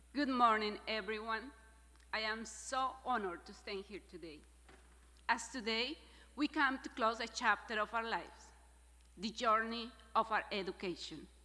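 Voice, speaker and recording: A woman's bright, sharp voice at a fairly high pitch, with a Spanish accent, a moderate pace and long, frequent pauses. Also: ordinary pitch variation. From Mexico, San Luis Potosi. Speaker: graduate student speaker. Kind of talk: commencement speech. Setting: stage with audience.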